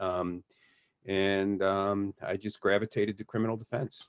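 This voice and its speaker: A man's fairly low voice with an American accent, in a dry, close sound with no echo. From Detroit, Michigan. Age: 60s. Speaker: criminal defense lawyer. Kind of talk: interview. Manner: halting.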